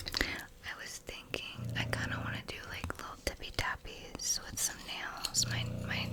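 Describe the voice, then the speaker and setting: Someone whispers over noticeable background noise. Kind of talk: ASMR soft-spoken talk and quote reading. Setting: home recording, close mic. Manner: soft-spoken, whispered.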